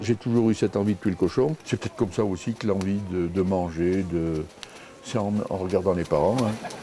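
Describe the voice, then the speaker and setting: Fairly low male voice at a moderate pace, ordinary pitch variation, music in the background. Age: 60s. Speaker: village festival organizer. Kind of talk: casual interview.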